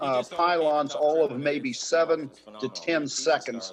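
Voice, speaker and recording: Noticeable background noise sits behind a man who speaks at a fairly slow pace with a fairly high pitch and lively intonation. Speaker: harness racing announcer. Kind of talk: interview answer.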